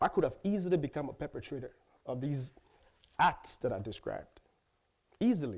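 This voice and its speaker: Fairly quick speech broken by long, frequent pauses, with vocal fry and very wide pitch swings. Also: man, fairly high pitch for a man. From Liberia. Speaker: human rights advocate. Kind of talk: commencement speech.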